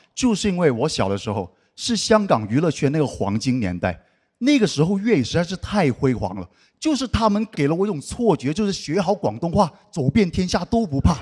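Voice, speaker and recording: On a very clean recording with a silent background, a speaker with a Cantonese accent talks at a fairly quick pace with very wide pitch swings. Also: man, high pitch for a man. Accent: Cantonese-accented Mandarin. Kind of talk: casual, humorous.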